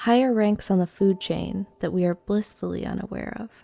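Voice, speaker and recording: With music in the background, a woman speaks at a moderate pace with fairly even intonation, the sound dry and close, with no echo. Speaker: creepypasta narrator. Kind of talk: horror story narration.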